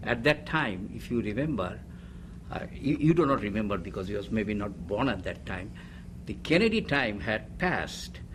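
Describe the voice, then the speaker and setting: Man's fairly low voice with vocal fry and very wide pitch swings, moderate pace, a Bengali accent, and audible room echo. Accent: Indian (Bengali) English. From India, Calcutta (Bengali). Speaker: retired chemical engineer, immigrant. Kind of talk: oral history interview. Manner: halting.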